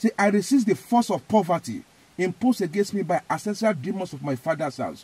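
A man with a Nigerian accent speaks at a high pitch with lively intonation and a fairly quick pace. The sound is dry, with no echo. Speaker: evangelist. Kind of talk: fervent prayer, loud command-style declarations, repeating phrases with rising intensity. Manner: emphatic, repetitive, forceful.

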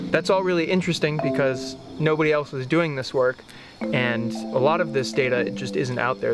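Loud music plays behind a man speaking at a moderate pace. The sound is dry, with no echo. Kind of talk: interview answer. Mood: enthusiastic, informative. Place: garden. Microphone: lapel.

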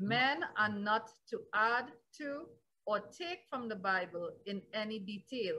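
A woman's fairly high, bright and sharp voice, very slow in pace, with lively intonation. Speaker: pastor. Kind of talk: sermon, Bible teaching. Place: home room. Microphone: webcam.

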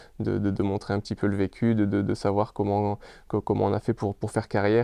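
A man's fairly low voice, dark and mellow in tone, at a moderate pace with monotone, flat intonation, dry with no echo, over a quiet background. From France. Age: 30s. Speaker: professional footballer. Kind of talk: interview. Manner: halting, many fillers and repeats. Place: home room. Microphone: lapel.

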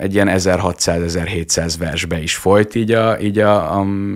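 Pitch varies in an ordinary way as the words come at a fairly slow pace. Behind them, all is quiet. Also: man. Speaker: lawyer and TikTok vlogger; lawyer, TikTok vlogger. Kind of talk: radio interview. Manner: articulate and enthusiastic. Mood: friendly, smiling. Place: studio. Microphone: studio mic.

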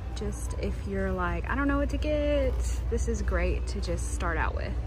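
A woman speaks in a very deep, low, monotone and flat voice at a moderate pace. The sound is dry with no echo, and clear music plays in the background. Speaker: vlogger. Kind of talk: casual vlog chat. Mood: cheerful, admiring. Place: shop. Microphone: phone near.

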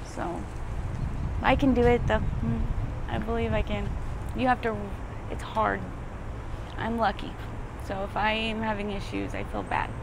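A woman at a moderate pace with long, frequent pauses, dry sound with no echo, and noticeable background noise. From Arizona. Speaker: homeless former drug addict. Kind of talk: street interview. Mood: emotional, near tears. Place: street.

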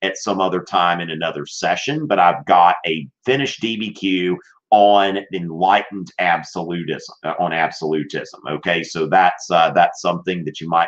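A man's very deep, low voice against a quiet background. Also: ordinary pitch variation, moderate pace. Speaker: teacher. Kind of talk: live-stream class talk. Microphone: webcam.

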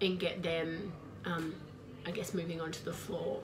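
A woman with a fairly low pitch talks at a moderate pace amid noticeable background noise. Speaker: trainer. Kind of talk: expert talk to camera. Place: office. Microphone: webcam.

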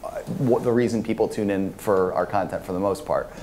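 The man's intonation stays fairly even, with light background noise underneath. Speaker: conference panelist. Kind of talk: panel discussion answer. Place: hall.

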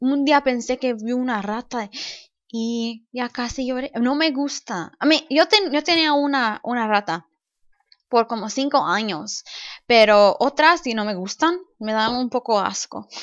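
Over a quiet background, a woman speaks at a very slow pace in a high pitch with ordinary pitch variation. The sound is dry and close, with no echo. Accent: English. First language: English (speaking Spanish). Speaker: gaming YouTuber. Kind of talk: let's play commentary. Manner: halting.

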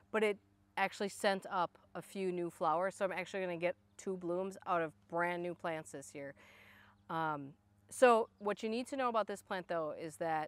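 A woman speaks at a fairly quick pace with ordinary pitch variation, in a dry sound with no echo. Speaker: garden blogger. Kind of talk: casual garden tutorial. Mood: enthusiastic. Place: garden.

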